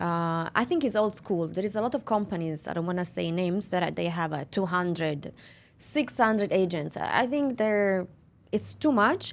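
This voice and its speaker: A woman with an Italian accent talks at a moderate pace with lively intonation. The recording is very clean, with a silent background. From Italy, near Milan. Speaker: real estate agency owner. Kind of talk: interview. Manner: halting.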